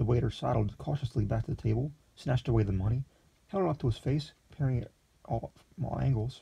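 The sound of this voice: Pitch variation here is ordinary. The voice reads in an unforced way.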